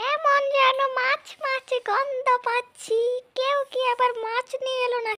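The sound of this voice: A female-sounding put-on character voice sits at an extremely high pitch. It moves at a fairly slow pace in a flat monotone.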